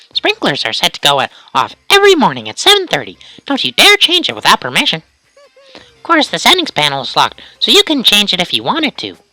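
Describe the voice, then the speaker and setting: Using a put-on character voice, a man speaks at a very fast pace in a high, smug tone with big swings in loudness. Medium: game stream. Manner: bossy, smug.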